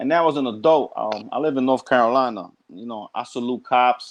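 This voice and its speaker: With a New York accent, a man of medium pitch talks at a moderate pace. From New York, Brooklyn. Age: 40s. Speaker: guest on live chat. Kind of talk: casual chat. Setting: online live chat.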